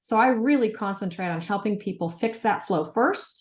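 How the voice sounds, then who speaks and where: A woman with a medium pitch speaks at a moderate pace in a somewhat breathy voice with lively intonation. The background is quiet. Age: 60s. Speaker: health supplement practitioner liaison. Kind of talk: interview. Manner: animated.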